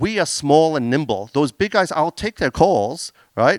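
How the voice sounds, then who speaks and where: On a very clean recording with a silent background and a dry, close sound with no echo, a man speaks with an Australian accent and lively intonation. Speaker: business owner presenting on AI. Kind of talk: conference talk with Q&A.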